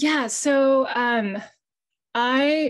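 Ordinary pitch variation from a woman, set in a quiet background. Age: 50s. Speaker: illustrator; panelist. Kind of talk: panel discussion. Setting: video call. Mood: earnest, personal, reflective. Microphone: video call.

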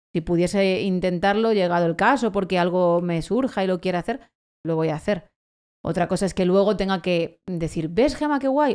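Against a quiet background, a woman speaks in a medium pitch at a moderate pace. Her tone is animated, with ordinary pitch variation. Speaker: late-night radio presenter; radio presenter. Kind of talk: casual chat. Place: studio. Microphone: studio mic.

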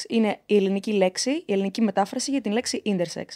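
A woman's voice with a dark, mellow tone, ordinary pitch variation and a fairly quick pace, against a quiet background. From Crete, Heraklion; Crete, Greece. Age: 20s. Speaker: intersex advocate; podcast guest. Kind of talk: interview. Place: studio. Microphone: studio mic.

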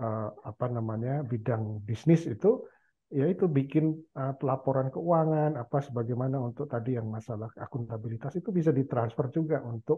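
This is an unremarkable speaking voice. It moves at a moderate pace with ordinary pitch variation. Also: man. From Indonesia, Central Java. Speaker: university professor; guest, professor. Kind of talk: casual chat. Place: home room. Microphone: headset.

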